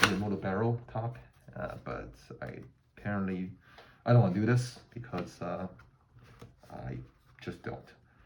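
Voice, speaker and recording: Lively intonation from a man with a fairly low pitch, at a moderate pace, with audible room echo. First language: not English. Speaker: gun hobbyist, army veteran. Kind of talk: tutorial. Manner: halting, many fillers.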